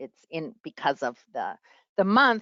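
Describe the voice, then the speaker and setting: A woman with a New York accent talks at a moderate pace with lively intonation. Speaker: public health professor. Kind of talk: lecture.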